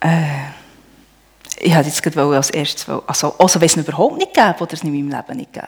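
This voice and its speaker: The speech comes at a very fast pace with ordinary pitch variation and big swings in loudness. There are long, frequent pauses and noticeable background noise. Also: woman, very deep, low pitch for a woman. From Switzerland, Emmental (Bern). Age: 40s. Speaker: churchgoer, homemaker. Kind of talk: testimony. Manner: halting.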